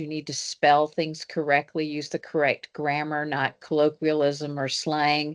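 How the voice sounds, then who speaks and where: A woman with a Southern US accent and a very deep, low voice is heard dry and close with no echo against a quiet background. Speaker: engineering professor. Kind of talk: panel discussion.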